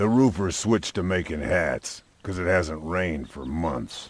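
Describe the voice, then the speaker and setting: In a raspy, put-on character voice, the speaker moves at a moderate pace with lively intonation. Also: man, very deep, low pitch for a man. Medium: video game.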